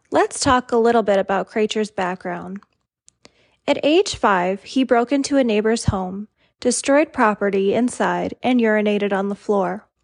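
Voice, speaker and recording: A woman's fairly high-pitched, normal speaking voice, a normal speaking voice at a moderate pace, with ordinary pitch variation, very even loudness, and a dry, close sound with no echo over a quiet background. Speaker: true crime podcaster. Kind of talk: scripted true-crime narration. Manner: even, serious, measured storytelling.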